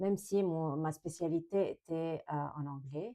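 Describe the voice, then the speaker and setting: This woman's voice is fairly low-pitched, with a dark, mellow tone. She talks at a very slow pace with fairly even intonation. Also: quiet background. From Lebanon. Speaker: French teacher and craft vlogger. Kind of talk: casual vlog tutorial. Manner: hesitant, many fillers.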